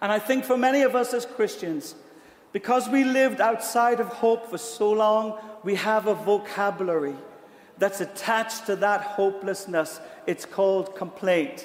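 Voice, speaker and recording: A man with a British accent speaks at a high pitch and a fairly slow pace, with ordinary pitch variation. Long, frequent pauses break up his speech, and background noise is noticeable. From Britain. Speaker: pastor. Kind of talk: sermon; prayer. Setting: church. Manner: animated.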